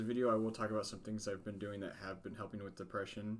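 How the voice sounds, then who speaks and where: Talking at a very fast pace, a man speaks with a fairly low pitch. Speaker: mental health vlogger. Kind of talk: casual vlog. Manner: halting.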